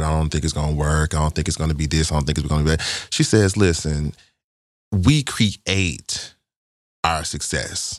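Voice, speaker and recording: A man with a Southern US accent speaks in a very deep, low pitch with fairly even intonation, recorded very cleanly against a silent background. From Arkansas, US South. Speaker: filmmaker. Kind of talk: casual chat.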